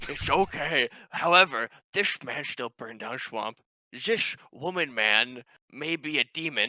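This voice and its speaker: A man does a put-on character voice at medium pitch, with lively intonation and big swings in loudness. He goes at a fairly slow pace. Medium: actual play. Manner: broken halting English, dropped articles.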